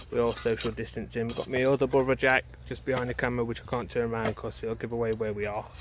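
With light noise behind him and no echo, a man talks at a fairly quick pace in a flat monotone. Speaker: bottle digging vlogger. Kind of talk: casual vlog chat. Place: open country. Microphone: phone near.

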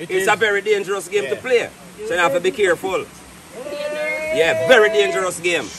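A man's high voice in a Jamaican accent at a fairly quick pace with hardly any pauses, over loud background noise. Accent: Jamaican Patois-inflected English. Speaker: vlogger. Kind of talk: casual chat. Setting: outdoors. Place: forest. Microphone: phone near.

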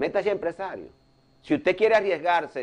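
This man's pace is fairly quick. His voice sits high in pitch. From Dominican Republic. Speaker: cardiologist and political commentator; political commentator. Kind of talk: news analysis talk show. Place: studio. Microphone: lapel.

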